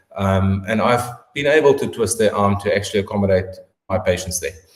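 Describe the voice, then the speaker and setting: This man has a South African accent and a somewhat breathy delivery. He moves at a moderate pace with ordinary pitch variation. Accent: South African, getting heavier. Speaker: orthopedic surgeon. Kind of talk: interview answering questions. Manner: hesitant fillers.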